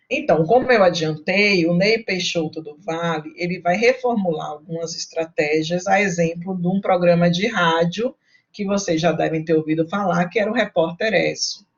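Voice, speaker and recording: A woman speaks in a somewhat breathy voice with ordinary pitch variation. She leaves hardly any pauses. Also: fairly low pitch for a woman, moderate pace. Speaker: university lecturer. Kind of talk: online lecture.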